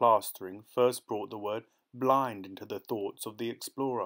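Speaking in a plain, everyday voice, a man at a medium pitch keeps a moderate pace and fairly even intonation on a very clean recording with a silent background. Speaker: audiobook narrator. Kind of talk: audiobook narration. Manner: measured, even-paced literary reading.

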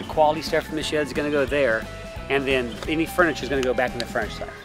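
Clear music plays in the background while a man speaks in a fairly high pitch with monotone, flat intonation, the sound dry with no echo. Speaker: auctioneer. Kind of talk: casual talk to camera, giving instructions to crew. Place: garden.

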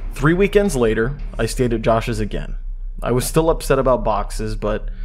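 At a moderate pace and with ordinary pitch variation, a man talks through noticeable background noise. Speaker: creepypasta narrator. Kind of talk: horror story narration, reading a first-person creepypasta aloud. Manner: casual and friendly at the outro.

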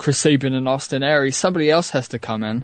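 Spoken with a British accent, this voice shows ordinary pitch variation over a quiet background. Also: man. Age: 20s. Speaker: podcast producer and co-host. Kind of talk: casual chat. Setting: live internet radio show.

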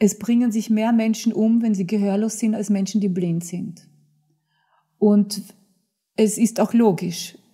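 This woman's fairly high-pitched voice is somewhat breathy, with a dark, mellow tone. She speaks at a fairly slow pace with long, frequent pauses against a quiet background. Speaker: author, actress, dubbing voice and TV presenter. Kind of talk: interview answer, anecdote telling. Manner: lively, humorous. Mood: earnest, explanatory. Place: studio.

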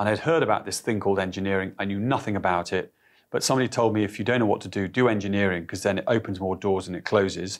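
A man rushes through his words at a very fast pace, pitch varying in an ordinary way, with a quiet background behind him. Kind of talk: interview answer. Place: office. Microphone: lapel.

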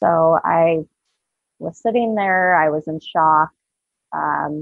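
A woman's very deep, low voice with a US Midwestern accent, dry with no echo, over a quiet background. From Southwest Iowa, rural. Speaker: cancer survivor and advocate; podcast guest. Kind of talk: testimony. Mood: earnest, emotional personal story. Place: home room. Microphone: webcam.

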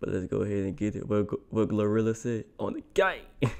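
Using a normal speaking voice, a man talks at a fairly quick pace with fairly low pitch and fairly even intonation. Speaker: reaction video creator. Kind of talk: casual vlog chat. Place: home room. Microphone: phone near.

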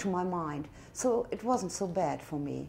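A woman with a German accent talks at a fairly slow pace. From northern Germany. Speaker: tourist. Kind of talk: interview answer. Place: home room.

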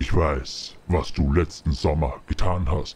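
A man puts on a menacing character voice with a very deep, low pitch. He speaks at a fairly slow pace. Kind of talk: horror taunting. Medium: machinima. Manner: menacing, gloating.

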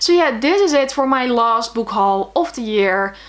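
In a Dutch accent, a woman speaks with a fairly high pitch. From Netherlands. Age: 20s. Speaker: book vlogger. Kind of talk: casual video monologue; casual vlog chat. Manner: hesitant with fillers. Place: home room.

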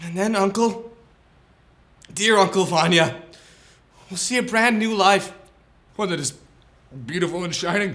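A man talks in a high, tearful voice with lively intonation at a moderate pace. Long pauses come often. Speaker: student actor. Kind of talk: dramatic monologue from a Chekhov play, performed as a comedic promo. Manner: earnest, pleading and consoling, building to fervent exclamations; tender, tearful-sounding reassurance with halting repetitions. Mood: earnest, mock-tearful. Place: studio.

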